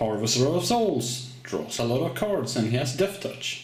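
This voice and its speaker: A man's lively intonation at a very slow pace. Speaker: card game video host. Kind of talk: casual talk to camera.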